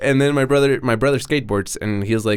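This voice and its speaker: A man with a Spanish accent at a fairly quick pace, with ordinary pitch variation. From Mexico. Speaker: BMX rider. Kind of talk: casual chat.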